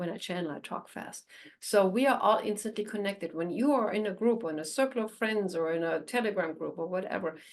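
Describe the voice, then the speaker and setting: A woman talks at a fairly quick pace. Her pitch is medium, with ordinary pitch variation. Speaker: animal communicator. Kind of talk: channeling session to online audience. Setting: online group call. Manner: fast; animated.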